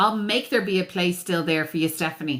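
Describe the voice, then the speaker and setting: A woman's medium-pitched, animated voice at a fairly quick pace. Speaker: tarot reader and astrologer. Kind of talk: live-stream readings and chat. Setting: live TikTok stream.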